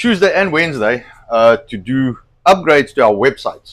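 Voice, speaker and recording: Here a man speaks with a South African accent in a fairly high pitch. His pitch swings very widely. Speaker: online show host. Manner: hesitant, many fillers.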